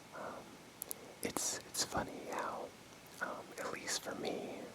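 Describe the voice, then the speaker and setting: Very slow whispering comes from a man, with noticeable background noise around it. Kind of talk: ASMR role play close-up sleep talk. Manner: whispered, soft-spoken, casual.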